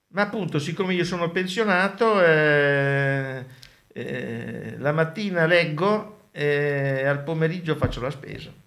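Speech at a very slow pace with ordinary pitch variation and audible room echo. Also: man, fairly high pitch for a man. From Sardinia. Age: 70s. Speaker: retiree. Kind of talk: casual interview.

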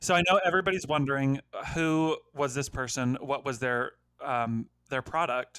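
A plain, everyday voice from a man with fairly high pitch at a moderate pace. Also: ordinary pitch variation. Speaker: podcast co-host. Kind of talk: casual comedic chat.

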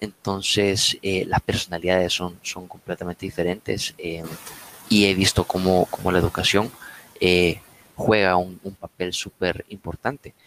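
This man speaks at a fairly slow pace in a very deep, low voice with monotone, flat intonation and a dry, close sound with no echo. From Latin America. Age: 20s. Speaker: bar manager. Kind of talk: casual chat.

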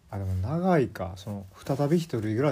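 Speaking at a moderate pace in a strong Kansai accent, a man has a fairly low pitch, a somewhat breathy voice and a dark, mellow tone. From Kansai, Japan (moved from Kanto at age 5). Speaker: solo podcast host. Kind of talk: casual solo talk. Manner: halting, many fillers.

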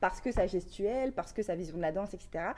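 A woman with an ordinary speaking voice at medium pitch, ordinary pitch variation, and a quiet background. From northern France, Valenciennes area. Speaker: hip-hop dancer and media founder. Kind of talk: casual interview.

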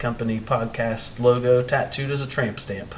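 A man speaks at medium pitch with fairly even intonation. Noticeable background noise and audible room echo are present. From Ohio, US Midwest. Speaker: podcast co-host. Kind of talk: casual chat.

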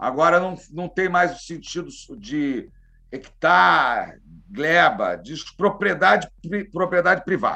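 Speaking at a very slow pace, a man uses a high voice with a bright, sharp tone. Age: 50s. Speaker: criminal lawyer and cannabis activist. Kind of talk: casual interview.

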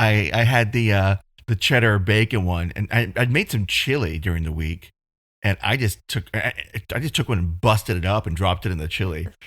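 A man speaks in a plain, everyday voice at a fairly quick pace, fairly low in pitch with ordinary pitch variation. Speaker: podcast co-host. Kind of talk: casual chat. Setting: video call.

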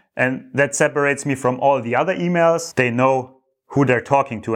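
A man talks with a German accent. His pitch is medium. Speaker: entrepreneur vlogger. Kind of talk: monthly business update vlog. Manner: halting, many fillers.

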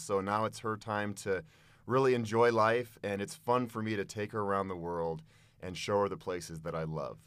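The recording is very clean, with a silent background, and a man with an American accent speaks at a moderate pace. He has an unremarkable speaking voice, a fairly low pitch, and ordinary pitch variation. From Boulder, Colorado, US. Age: 40s. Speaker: adventure vlogger. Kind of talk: casual interview.

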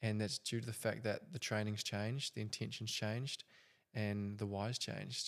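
A normal speaking voice with fairly even intonation at a fairly quick pace. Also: man. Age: 20s. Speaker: podcast host. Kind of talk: casual chat.

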